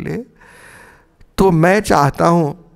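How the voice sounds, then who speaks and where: Very slowly the words come out, with only a quiet background behind them. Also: man. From Bihar, Chhapra; Bihar. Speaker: retired philosophy professor. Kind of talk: interview. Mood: calm, reflective. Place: home room.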